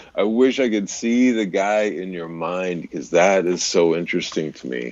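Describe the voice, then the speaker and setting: Moderate-paced speech from a man, very deep and low in pitch. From US Southwest (California, rural Arizona, Missouri). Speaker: voice-over artist and radio DJ. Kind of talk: casual chat. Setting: live stream video call.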